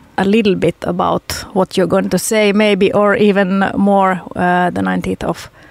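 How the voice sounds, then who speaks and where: Speaking fairly slowly, a woman with a Finnish accent keeps a monotone, flat intonation. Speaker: radio host. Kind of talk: casual chat. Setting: studio. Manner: halting.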